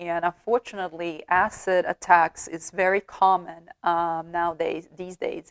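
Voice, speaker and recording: With a non-native accent, the speaker talks very slowly in a monotone, flat way on a very clean recording with a silent background and a dry, close sound with no echo. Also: woman. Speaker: true crime YouTuber. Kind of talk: casual storytelling commentary. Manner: halting, many fillers.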